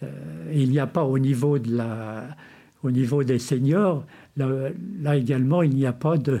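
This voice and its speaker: A man's dark, mellow voice at a medium pitch, with ordinary pitch variation and a fairly slow pace. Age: 70s. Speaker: founder of a volunteer association. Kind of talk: interview. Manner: halting.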